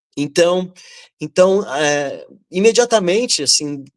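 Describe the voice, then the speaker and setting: His intonation is lively. The speaker, a man, has a high pitch. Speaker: writer. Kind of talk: panel discussion. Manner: halting; talkative.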